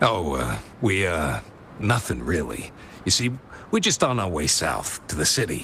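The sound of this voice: Using a put-on character voice, a man speaks at a low pitch and a fairly slow pace, with very wide pitch swings, vocal fry, and a bright, sharp tone.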